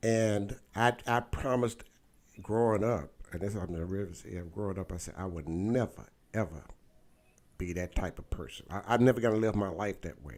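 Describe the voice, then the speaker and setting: A man speaks at a moderate pace with a fairly low pitch. His pitch varies in an ordinary way, while his loudness swings widely. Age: 60s. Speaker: talk show host. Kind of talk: casual interview. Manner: halting, repetitive.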